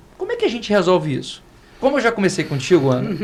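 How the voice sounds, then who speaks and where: Over noticeable background noise, a man speaks in a high voice with lively intonation. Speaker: lawyer. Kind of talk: podcast panel discussion. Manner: fast.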